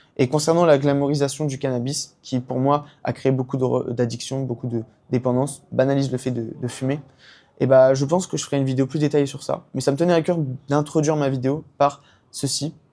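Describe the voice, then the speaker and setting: In a very clean recording with a silent background, a man talks at a fairly quick pace. His fairly high-pitched voice has a dark, mellow tone and a monotone, flat intonation. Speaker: YouTuber and CBD brand founder. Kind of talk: personal testimony vlog. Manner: fast; hesitant, many fillers.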